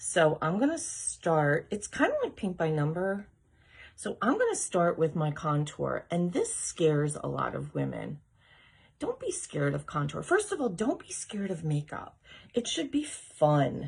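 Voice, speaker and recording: A woman's whisper at a fairly slow pace. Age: 50s. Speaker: makeup seller. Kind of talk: tutorial. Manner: whispering.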